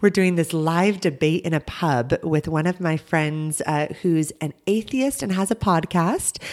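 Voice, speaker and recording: An American accent at a fairly slow pace, hardly any pauses and ordinary pitch variation. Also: woman, fairly low pitch for a woman. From America, then England. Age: 30s. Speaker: preacher. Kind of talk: casual interview chat.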